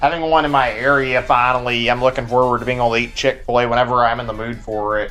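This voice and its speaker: A man with a Texan accent, medium-pitched, monotone and flat, talking at a very fast pace over music in the background. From Texas. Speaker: video game streamer. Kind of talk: casual live stream chat.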